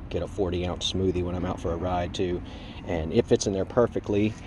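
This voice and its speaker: Through noticeable background noise, a man with a very deep, low pitch talks at a fairly quick pace in a monotone, flat way, the sound dry with no echo. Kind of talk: casual tutorial. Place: street. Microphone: phone near.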